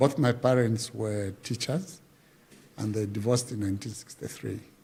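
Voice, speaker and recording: Somewhat breathy and dark, mellow in tone, a man speaks at a fairly low pitch with ordinary pitch variation. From Zambia, Luapula region. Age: 60s. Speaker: veteran musician and folklore artist. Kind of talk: interview, life story. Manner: halting, many fillers.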